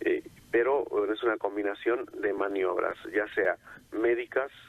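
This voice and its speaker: A man at a fairly slow pace with very even loudness. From Mexico. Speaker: cardiologist. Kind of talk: radio interview.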